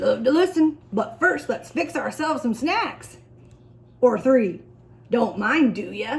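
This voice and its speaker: A high-pitched put-on character voice from a woman at a fairly slow pace. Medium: read story. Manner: clipped, breezy.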